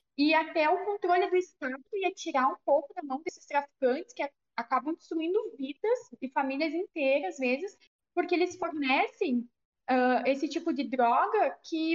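A woman talks at a moderate pace in a high voice. Her intonation is lively. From southern Brazil, Rio Grande do Sul. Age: 20s. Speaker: local politician, youth party leader. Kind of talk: podcast interview.

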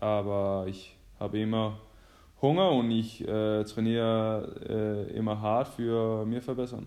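A man with a Danish accent talks at a very slow pace in a fairly low pitch. His intonation is fairly even, and the room echo is audible. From Denmark. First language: Danish (speaking German). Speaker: professional handball player. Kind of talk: casual chat. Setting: phone call.

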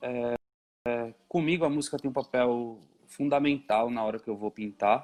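A man at medium pitch talks fairly slowly in an unremarkable speaking voice with ordinary pitch variation, the sound dry and close with no echo. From São Paulo East Zone, Brazil. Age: 30s. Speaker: painter and sculptor. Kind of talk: casual interview. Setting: video call.

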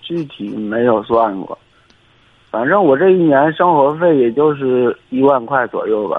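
The man has a normal speaking voice with a fairly high pitch. He talks at a fairly slow pace with lively intonation. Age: 30s. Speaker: construction worker. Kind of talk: call-in advice conversation.

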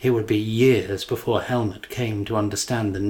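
The intonation stays fairly even. This is plain reading aloud.

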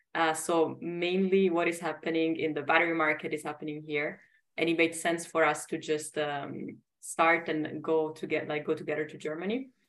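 A woman speaks in an Italian accent at a very deep, low pitch. Her intonation stays monotone and flat. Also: moderate pace. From Italy. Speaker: startup founder and CEO. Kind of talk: interview.

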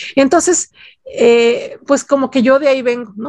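A woman's ordinary speaking voice with lively intonation and a dry, close sound with no echo. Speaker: music journalist. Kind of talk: interview.

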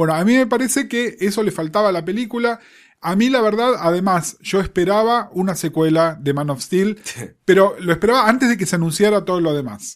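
In a Rioplatense accent, a man talks at a fairly quick pace and a high pitch. His intonation is lively. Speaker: podcast co-host. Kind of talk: casual chat.

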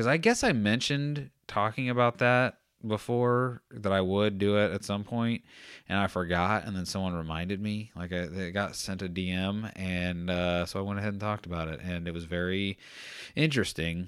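A man with an unremarkable speaking voice talks at a moderate pace in a fairly low pitch with ordinary variation, on a very clean recording with a silent background. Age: 30s. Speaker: podcast host. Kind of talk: solo monologue. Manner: rambling, self-interrupting.

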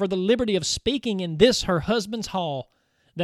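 A natural reading voice, with ordinary pitch variation and a quiet background.

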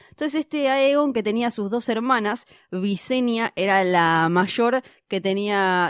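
Medium-pitched speech from a woman with a normal speaking voice, at a fairly slow pace with ordinary pitch variation, dry and close with no echo, in a very clean recording with a silent background. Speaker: podcast co-host. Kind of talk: casual chat.

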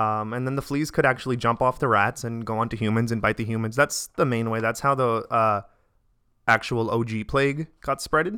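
A man with an American accent speaks at a fairly quick pace in a bright, sharp tone, his medium pitch held in fairly even intonation, on a very clean recording with a silent background. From Staten Island, New York. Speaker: physician assistant. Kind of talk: casual chat.

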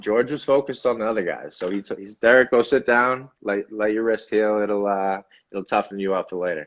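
A man's fairly low-pitched voice with an American accent, an ordinary speaking voice at a fairly quick pace and with fairly even intonation. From Boston. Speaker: actor, model and athlete. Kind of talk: interview.

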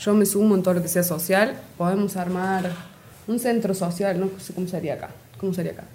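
With audible room echo and noticeable background noise, a woman talks fairly quickly at a medium pitch, her intonation fairly even but her loudness swinging widely. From Argentina, Córdoba province (Río Ceballos). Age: 20s. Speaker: guest, community volunteer. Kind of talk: casual interview.

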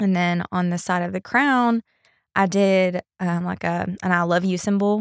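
A woman speaks in a medium pitch with fairly even intonation. The sound is dry and close with no echo, on a very clean recording with a silent background. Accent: Texan. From East Texas. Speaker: hat designer and boutique owner. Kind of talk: casual interview.

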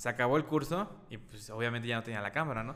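A man with a Mexican accent speaks with ordinary pitch variation. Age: 20s. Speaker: videographer and photographer. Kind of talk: casual interview.

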